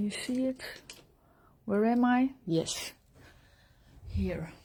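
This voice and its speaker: A woman with a Dutch accent speaks very slowly in a somewhat breathy voice. Her pitch is fairly high, with ordinary variation. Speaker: pastel artist. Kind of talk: live drawing tutorial. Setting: live stream. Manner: halting, with many fillers.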